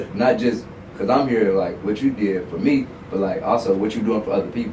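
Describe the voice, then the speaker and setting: Against noticeable background noise and audible room echo, a man with a medium-pitched voice speaks at a fairly quick pace. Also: ordinary pitch variation. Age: 20s. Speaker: content creator. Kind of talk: casual chat. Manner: animated.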